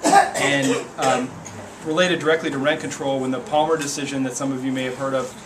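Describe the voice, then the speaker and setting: A man with an American accent talks very fast in a fairly high pitch with fairly even intonation. Noticeable background noise and audible room echo fill the recording. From US Midwest. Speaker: legislative aide. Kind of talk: public talk at community meeting. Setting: meeting room with audience. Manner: halting, many repetitions.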